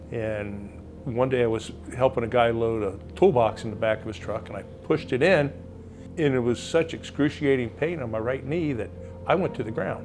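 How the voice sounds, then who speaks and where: A man's medium-pitched voice at a moderate pace, lively intonation, music in the background. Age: 60s. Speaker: retired firefighter and patient, now auctioneer. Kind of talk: testimonial interview.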